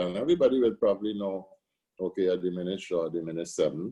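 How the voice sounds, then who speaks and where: A man talks at a very fast pace with a Trinidadian accent. His tone is dark and mellow. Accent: Trinidad and Tobago English. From Tobago. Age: 60s. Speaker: steelpan musician and arranger. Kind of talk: interview.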